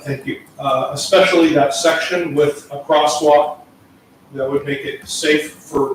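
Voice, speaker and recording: Over noticeable background noise and audible room echo, a man speaks fairly slowly at a fairly high pitch in a monotone, flat intonation. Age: old. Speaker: resident speaking at public comment. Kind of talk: public comment at council meeting. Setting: council meeting chamber.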